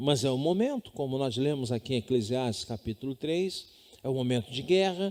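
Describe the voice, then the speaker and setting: In a normal speaking voice, a man talks at a medium pitch and moderate pace with lively intonation. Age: 60s. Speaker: pastor. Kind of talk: sermon. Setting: home.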